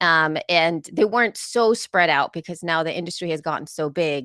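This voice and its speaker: A woman talks at a moderate pace. The sound is dry and close with no echo, on a very clean recording with a silent background. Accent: Spanish. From El Salvador, moved to US as a child. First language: Spanish. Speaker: podcaster and conference speaker. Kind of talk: conference talk. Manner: conversational with frequent fillers.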